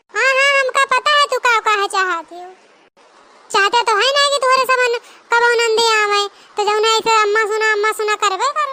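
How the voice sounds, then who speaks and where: Someone speaks at a moderate pace in a cartoonish character voice. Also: female-sounding voice, extremely high pitch for a woman. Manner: scolding, lecturing.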